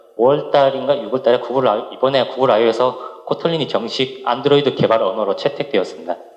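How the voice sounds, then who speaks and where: Very even in loudness, a man talks at a very fast pace over noticeable background noise. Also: hardly any pauses. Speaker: software developer, conference speaker. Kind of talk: technical conference talk. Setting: conference stage with audience. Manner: halting, many restarts.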